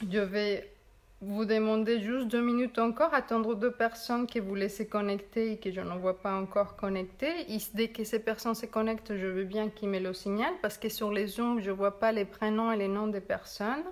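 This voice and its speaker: Speaking with a non-native accent, a woman uses a fairly high pitch and fairly even intonation at a moderate pace. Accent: noticeable non-native accent in French. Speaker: meditation guide and therapist. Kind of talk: guided meditation. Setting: video call and Facebook Live stream. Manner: calm, gentle.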